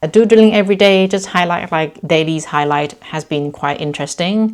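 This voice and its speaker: A woman with a Thai accent is heard in a very clean recording against a silent background. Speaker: lifestyle vlogger. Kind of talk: casual vlog talk to camera. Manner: energetic.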